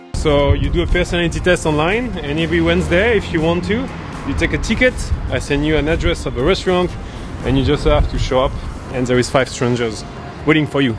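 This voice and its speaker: A man's fairly high, lively voice at a fairly quick pace, over noticeable background noise. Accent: French. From France, Paris suburbs. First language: French. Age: 30s. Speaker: startup founder. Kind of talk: street interview.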